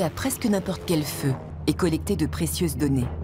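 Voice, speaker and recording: Noticeable background noise runs behind a woman talking at a moderate pace. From France. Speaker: voice actor. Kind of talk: documentary narration.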